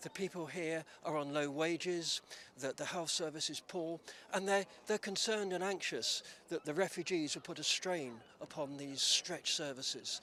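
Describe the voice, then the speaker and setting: Using a southern English accent, a man with a high pitch and a bright, sharp tone talks at a moderate pace with ordinary pitch variation. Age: 70s. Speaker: retired head teacher and activist. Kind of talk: news interview.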